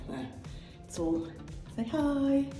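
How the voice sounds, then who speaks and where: At a fairly slow pace, a woman speaks with audible room echo and noticeable background noise. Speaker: travel vlogger. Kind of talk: casual vlog chat. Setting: hotel room. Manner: hesitant, full of fillers.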